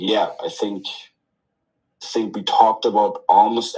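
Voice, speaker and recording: Speaking at a moderate pace, a man has a non-native accent. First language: not English. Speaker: crypto company team member. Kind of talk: casual chat. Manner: halting.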